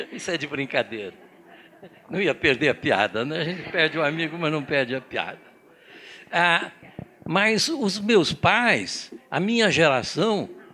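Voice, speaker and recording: A man with vocal fry and a bright, sharp tone uses lively intonation. He talks at a fairly slow pace with long, frequent pauses. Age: 80s+. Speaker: organization president, seminar speaker. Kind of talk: seminar talk.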